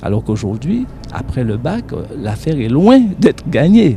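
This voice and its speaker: Noticeable background noise is present throughout. Over it, a man talks at a fairly slow pace. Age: 60s. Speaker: studio guest commentator. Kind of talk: television interview.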